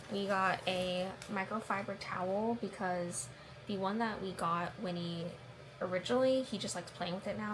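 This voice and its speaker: Over noticeable background noise, a woman speaks quietly at a moderate pace and a medium pitch. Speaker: vlogger. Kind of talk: casual vlog talk.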